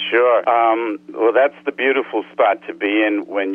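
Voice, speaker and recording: At a moderate pace, a man with an American accent talks over noticeable background noise. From Harlem, New York City. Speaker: singer-songwriter and producer. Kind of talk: interview answer.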